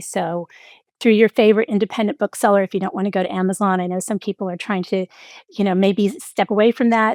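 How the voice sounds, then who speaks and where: A woman speaks in an ordinary speaking voice at a medium pitch, with a fairly quick pace and ordinary pitch variation. The recording is very clean with a silent background, and the sound is dry and close with no echo. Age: 60s. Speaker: executive coach and author. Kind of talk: interview conversation.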